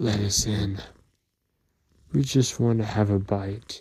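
Growling in a put-on character voice, a man speaks at a fairly low pitch. His pace is fairly slow.

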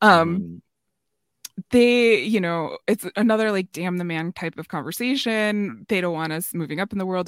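A woman in an ordinary speaking voice, lively intonation and a fairly quick pace, on a very clean recording with a silent background and dry, close sound with no echo. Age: 40s. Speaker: podcast co-host. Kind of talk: casual chat.

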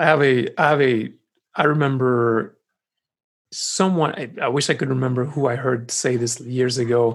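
Ordinary pitch variation at a moderate pace. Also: man, medium pitch for a man. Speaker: pastor and podcast co-host. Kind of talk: casual chat. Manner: announcer voice at times.

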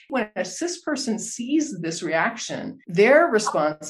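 A woman with an American accent speaks at a medium pitch, her voice swinging very widely up and down over noticeable background noise. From Texas. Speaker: podcast host. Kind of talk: casual interview.

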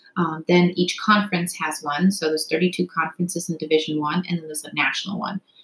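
Pitched fairly low, a woman uses an unremarkable speaking voice with fairly even intonation. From Canada, Toronto area. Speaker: former college swimmer and brain injury researcher. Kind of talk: casual interview.

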